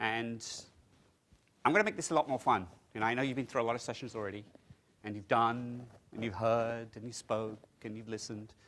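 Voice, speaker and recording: Speaking with an English accent at a fairly quick pace, a man with a medium-pitched voice shows big swings in loudness and takes long, frequent pauses. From England. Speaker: technology consultant presenting at a conference. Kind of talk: conference presentation. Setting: conference room with audience. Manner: fast; animated.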